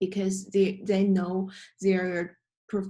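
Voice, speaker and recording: This woman's voice is somewhat breathy. Her tone is dark and mellow. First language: not English. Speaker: student presenter. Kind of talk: class presentation. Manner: halting.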